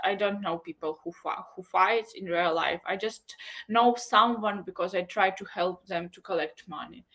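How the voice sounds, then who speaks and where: With a Ukrainian accent, the speaker keeps a moderate pace and ordinary pitch variation over noticeable background noise. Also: woman. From Ukraine, Chernihiv. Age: 20s. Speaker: photographer and social media creator. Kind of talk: interview. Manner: halting.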